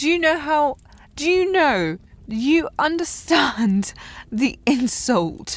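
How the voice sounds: Using a put-on character voice, a woman speaks slowly at a high pitch with big pitch swings.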